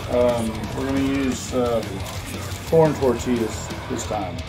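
Music can be heard in the background. The speaker is a man. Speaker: home cook host. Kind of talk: casual cooking demonstration. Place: kitchen.

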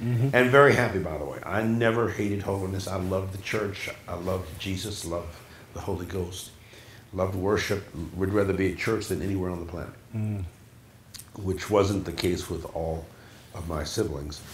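Audible room echo and light background noise around a man with a very deep, low pitch, ordinary pitch variation and a fairly quick pace. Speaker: interview guest, pastor. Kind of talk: interview answer. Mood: warm, reminiscing, some laughs. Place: home room.

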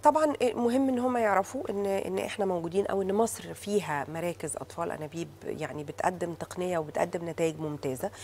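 With an Egyptian accent, a woman talks with lively intonation and hardly any pauses over light background noise. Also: moderate pace. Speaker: fertility doctor. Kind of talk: TV talk show interview. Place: studio.

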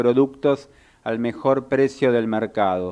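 A man talks at a fairly slow pace with a Rioplatense accent. His pitch sits in the medium range, and the background is quiet. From Argentina. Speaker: radio host. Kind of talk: radio talk show. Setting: radio studio. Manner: halting, many fillers. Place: studio.

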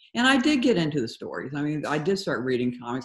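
A woman with an American accent speaks at a fairly quick pace against a quiet background. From Georgia, US South. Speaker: comic artist. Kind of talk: interview. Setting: video call. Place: home room. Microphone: video call.

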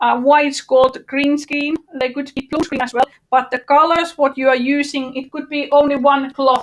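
A woman talks at a high pitch and a moderate pace. Her intonation is monotone and flat. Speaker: workshop trainer. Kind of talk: online workshop tutorial. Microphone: video call.

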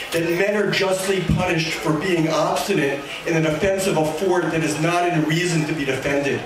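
Amid noticeable background noise and audible room echo, a man speaks at a high pitch. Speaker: poet. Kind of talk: poetry reading, performed with dry wit and mock-grand diction. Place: cafe.

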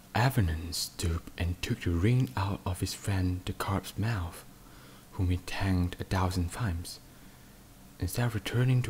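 This voice is soft-spoken and somewhat breathy. The intonation is fairly even. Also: man. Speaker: podcaster. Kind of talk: sleep story.

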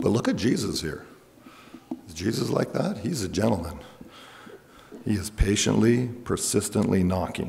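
Someone with a Canadian accent talks at a moderate pace, pausing long and often. Noticeable background noise runs underneath. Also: man, fairly low pitch for a man, ordinary pitch variation. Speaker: pastor. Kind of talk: sermon. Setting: church.

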